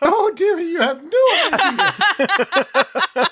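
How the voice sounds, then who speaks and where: This is a put-on character voice. It sounds squeaky at an extremely high pitch. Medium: actual play. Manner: prim, genteel, fussy.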